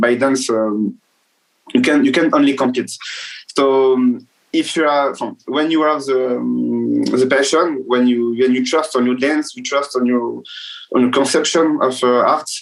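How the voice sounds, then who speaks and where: A man with a French accent, medium-pitched, at a moderate pace and fairly even intonation, with music in the background. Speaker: dancer. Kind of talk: interview. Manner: halting, many fillers.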